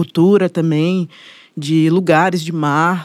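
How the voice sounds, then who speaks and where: In a monotone, flat intonation, a woman speaks at a very slow pace. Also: very clean recording, silent background. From Brazil, Bahia (Salvador). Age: 20s. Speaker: musician and producer. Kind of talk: casual interview chat.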